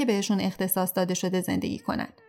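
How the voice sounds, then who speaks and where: A woman is speaking here. Her pace is very fast. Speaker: podcast narrator. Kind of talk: scripted narration.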